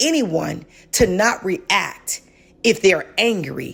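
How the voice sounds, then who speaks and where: Passionate in tone, a woman speaks at a medium pitch with very wide pitch swings and vocal fry. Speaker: podcast co-host. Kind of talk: casual discussion. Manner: passionate, raised voice.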